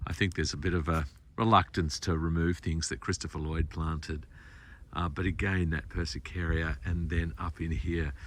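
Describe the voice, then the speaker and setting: This man's voice is very deep and low, with vocal fry. He keeps a moderate pace and fairly even intonation. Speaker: garden designer / tour guide. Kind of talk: casual walking talk to camera. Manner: quiet, low-pitched.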